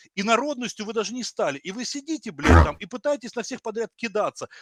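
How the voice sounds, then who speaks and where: A man with a Russian accent speaks at an extremely high pitch with lively intonation. The sound is dry and close, with no echo. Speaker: video chat stranger. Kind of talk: heated debate. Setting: video call. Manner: aggressive.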